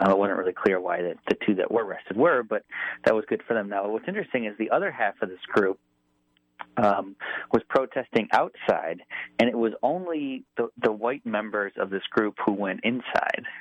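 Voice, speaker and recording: This man has an American accent and an unremarkable speaking voice. His pitch is medium, with ordinary variation, at a moderate pace. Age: 30s. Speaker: magazine reporter. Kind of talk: radio interview.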